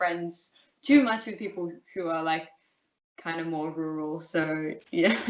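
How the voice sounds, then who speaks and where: With an Australian accent, a woman talks at a fairly low pitch, her pitch varying an ordinary amount. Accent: general Australian, urban. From Australia, Melbourne. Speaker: interview guest. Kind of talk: casual interview. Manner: halting, many fillers.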